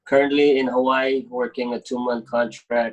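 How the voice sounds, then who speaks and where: This man talks at a medium pitch. His intonation stays flat and monotone. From Micronesia. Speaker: paramedic, former student. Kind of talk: testimonial.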